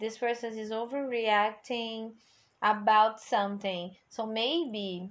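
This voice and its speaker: The speaker has a Portuguese accent. The pace is very slow. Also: woman. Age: 20s. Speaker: English teacher and music podcaster. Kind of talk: casual song review monologue.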